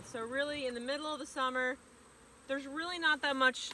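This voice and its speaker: A woman speaks loudly in a high pitch. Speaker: beekeeper. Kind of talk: tutorial. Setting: outdoors.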